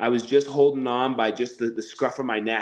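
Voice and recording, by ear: A man speaks at a medium pitch. His pace is moderate.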